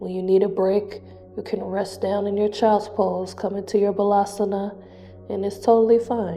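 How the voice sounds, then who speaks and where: A soft-spoken woman talks at a medium pitch in a monotone, flat intonation. Music plays in the background. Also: moderate pace. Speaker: yoga instructor. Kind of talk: guided yoga class.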